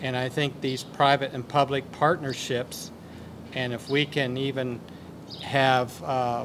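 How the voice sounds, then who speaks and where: A man talks at a fairly slow pace with an American accent. His pitch is medium and his intonation fairly even. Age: 60s. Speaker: dairy cooperative representative. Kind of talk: roundtable remarks. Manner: halting.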